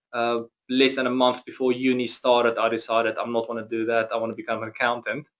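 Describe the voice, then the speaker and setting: A man speaks with a South African accent. His pitch sits in the medium range. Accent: Afrikaans-accented English. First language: Afrikaans. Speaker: chief financial officer. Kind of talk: interview webinar. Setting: webinar.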